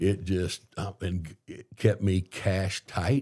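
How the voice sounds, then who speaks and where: A man with a very deep, low voice speaks in a dark, mellow tone that sounds somewhat breathy. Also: very clean recording, silent background. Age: 60s. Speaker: entrepreneur and mayoral candidate. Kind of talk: podcast interview. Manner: halting, self-correcting.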